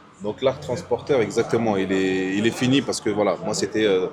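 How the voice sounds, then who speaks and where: A man with a medium pitch and lively intonation speaks over noticeable background noise. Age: 20s. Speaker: entrepreneur, former vehicle transporter. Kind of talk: casual interview.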